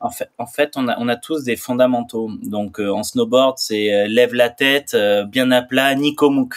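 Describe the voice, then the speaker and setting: In a plain, everyday voice, a man speaks at a fairly slow pace and medium pitch with fairly even intonation and hardly any pauses. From France, Pyrenees. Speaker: former pro snowboarder and public speaker. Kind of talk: podcast interview.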